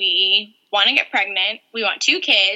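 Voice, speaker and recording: A woman with a normal speaking voice, a fairly high pitch, an American accent and a moderate pace. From North Carolina. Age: 30s. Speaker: medical worker. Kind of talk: interview.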